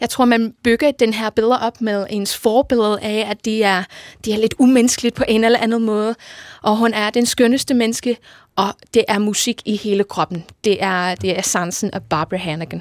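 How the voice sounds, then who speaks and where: A woman speaks at a fairly high pitch with an English accent. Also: moderate pace, dry, close sound with no echo. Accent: English-accented Danish. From England, Liverpool. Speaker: choir conductor. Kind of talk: radio interview. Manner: energetic.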